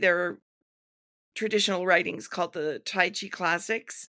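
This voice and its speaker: Woman with an American accent, bright, sharp tone, monotone, flat intonation and moderate pace in a very clean recording with a silent background. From New England, US. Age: 60s. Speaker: tai chi teacher and movement educator. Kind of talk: podcast interview. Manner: halting, many fillers.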